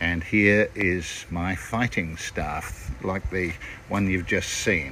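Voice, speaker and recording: With a New Zealand accent, a man speaks at a very slow pace in a fairly low voice over noticeable background noise. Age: 70s. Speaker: actor. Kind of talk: casual show-and-tell video message.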